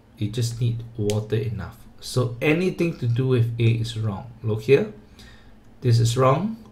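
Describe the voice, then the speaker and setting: A man speaks at a medium pitch with ordinary pitch variation. His voice is somewhat breathy, and his pace is fairly slow. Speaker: tutor. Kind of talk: tutorial.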